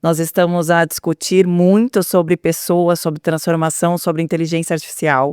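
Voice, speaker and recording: In a southern Brazilian accent, a woman speaks at a moderate pace. Her fairly low voice has a monotone, flat intonation. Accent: gaúcho (southern Brazilian). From Rio Grande do Sul, Brazil (São Leopoldo). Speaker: HR and transformation executive. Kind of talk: interview conversation.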